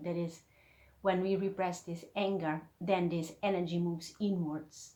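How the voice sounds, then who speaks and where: The voice has a dark, mellow tone, somewhat breathy, with monotone, flat intonation. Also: woman. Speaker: spiritual teacher, YouTuber. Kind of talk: video lesson. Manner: hesitant, many fillers.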